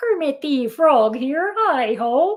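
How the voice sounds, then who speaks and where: A high, croaky put-on character voice carries the performance. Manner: playful, demonstrating.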